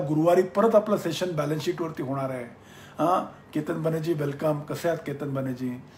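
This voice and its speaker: A man speaks with a Marathi accent. His pitch is fairly high, with ordinary variation. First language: Marathi (speaking Hindi). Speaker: business mentor. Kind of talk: live-stream Q&A. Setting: Facebook live session.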